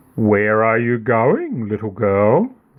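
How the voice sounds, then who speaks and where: A man puts on a character voice at a medium pitch. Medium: read story. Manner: silky, coaxing.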